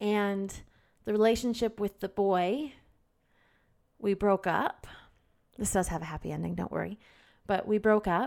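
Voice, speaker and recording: Moderate pace with long, frequent pauses, ordinary pitch variation, and a very clean recording with a silent background. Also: woman, medium pitch for a woman. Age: 30s. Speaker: podcast host. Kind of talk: solo self-help talk. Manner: candid, occasionally emotional.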